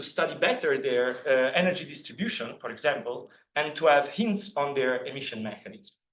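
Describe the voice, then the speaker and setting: Speaking at a fairly quick pace in an Italian accent, a man swings very widely in pitch amid audible room echo. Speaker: PhD student giving a seminar talk. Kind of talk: scientific seminar lecture. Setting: seminar room with audience. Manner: halting, many fillers.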